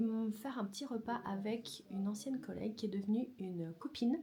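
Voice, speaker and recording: Somewhat breathy and dark, mellow in tone, this woman's fairly high voice moves at a moderate pace with ordinary pitch variation. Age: 20s. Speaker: vlogger and photographer. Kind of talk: casual vlog. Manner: hesitant, many fillers.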